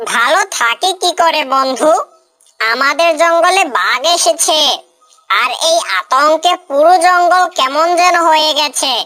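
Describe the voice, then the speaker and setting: Using a cartoonish character voice at an extremely high pitch, a woman speaks at a fairly slow pace. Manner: calm, persuasive.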